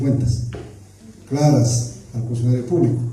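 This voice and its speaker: With audible room echo, a man of medium pitch speaks at a moderate pace in a monotone, flat intonation. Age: 60s. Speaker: public official. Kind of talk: public accountability Q&A.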